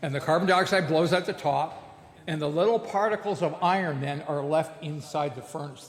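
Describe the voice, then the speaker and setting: Speaking with a Canadian accent, a man with a plain, everyday voice talks at a fairly high pitch with ordinary pitch variation. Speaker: blacksmith giving a lecture. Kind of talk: lecture.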